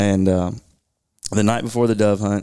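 A man speaks with a fairly low pitch and a dark, mellow tone. His intonation stays flat and monotone. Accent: Kentucky. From Kentucky (Bowling Green). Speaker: conservation group regional director. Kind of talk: casual interview. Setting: studio conference room.

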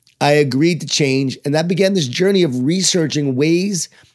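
Talking at a fairly quick pace, a man with an American accent has a fairly high pitch, an animated tone and ordinary pitch variation. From Long Island, New York. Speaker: author and leadership speaker. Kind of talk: interview.

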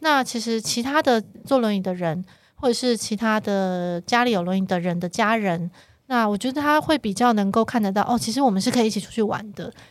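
A normal speaking voice from a woman, fairly high in pitch, at a fairly quick pace with ordinary pitch variation, on a very clean recording with a silent background. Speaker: chief editor and show planner. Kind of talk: casual chat. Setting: studio.

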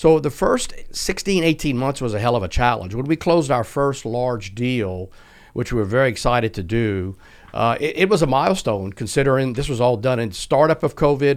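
A man with an American accent speaks at a moderate pace in a medium pitch, his intonation lively, on a very clean recording with a silent background. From US South, South Louisiana. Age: 60s. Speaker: tech company CEO. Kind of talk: podcast interview.

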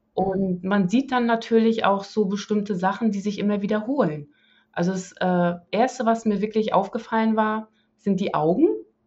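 Her speech holds a moderate pace with ordinary pitch variation. This woman sounds somewhat breathy. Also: medium pitch for a woman. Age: 40s. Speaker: interview guest, carnivore diet convert. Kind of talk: casual interview.

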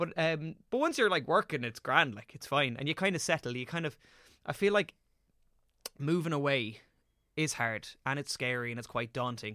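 A man with a strong Irish accent speaks at a moderate pace in a bright, sharp tone, his fairly high voice moving with lively intonation and big swings in loudness, broken by long, frequent pauses, on a very clean recording with a silent background and a dry, close sound with no echo. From Ireland. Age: 20s. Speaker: actor. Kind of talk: casual chat.

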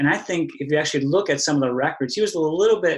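A man does the talking here. He has an American accent. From US Midwest, Wisconsin. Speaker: sociology professor. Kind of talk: interview. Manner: halting, many fillers.

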